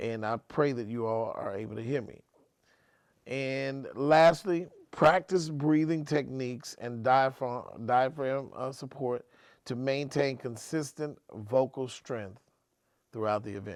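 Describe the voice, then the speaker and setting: At a fairly slow pace, a man speaks with medium pitch, ordinary pitch variation and big swings in loudness, on a very clean recording with a silent background. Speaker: wedding MC and coach. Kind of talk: tutorial. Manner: conversational.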